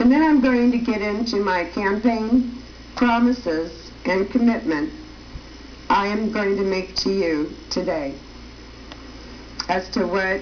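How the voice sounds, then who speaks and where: Noticeable background noise and audible room echo surround this woman's voice. She talks at a fairly slow pace with lively intonation. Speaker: political candidate and TV show host. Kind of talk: campaign appeal on TV show. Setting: TV studio. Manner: slow, easy pace.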